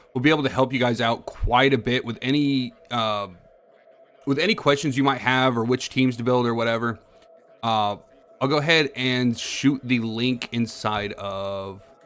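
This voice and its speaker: A man speaks at a medium pitch. His pace is moderate and his intonation fairly even. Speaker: gaming streamer. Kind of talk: live gameplay stream.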